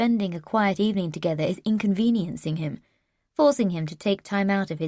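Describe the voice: Quiet background behind plain reading aloud, with ordinary pitch variation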